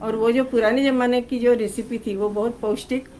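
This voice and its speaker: Her voice is fairly high in pitch, and this woman speaks with monotone, flat intonation. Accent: Marathi. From Maharashtra, India (Pune). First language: Marathi (speaking Hindi). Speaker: cookbook author. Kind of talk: press interview. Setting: press conference.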